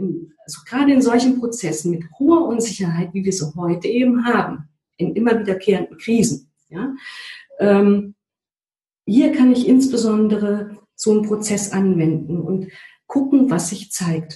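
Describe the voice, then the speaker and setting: A woman speaks fairly slowly at a medium pitch, her tone dark and mellow and somewhat breathy. Her intonation is lively. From East Germany. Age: 40s. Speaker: change consultant and trainer. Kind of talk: interview. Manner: hesitant, many filler sounds.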